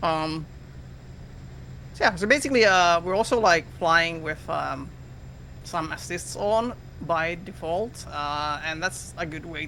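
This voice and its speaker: The speaker has a non-native accent. Delivery comes at a fairly slow pace. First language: not English. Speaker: flight sim game instructor. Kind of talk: tutorial. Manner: halting, many fillers.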